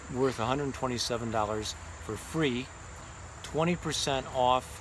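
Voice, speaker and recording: A man talks at a moderate pace with a medium pitch. Noticeable background noise runs under his voice. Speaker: art instructor. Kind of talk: sales pitch. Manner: halting.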